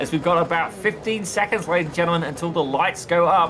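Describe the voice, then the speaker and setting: The speaker has a British accent. Noticeable background noise runs through the clip. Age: 30s. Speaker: sim racing commentator. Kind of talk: live commentary. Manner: animated.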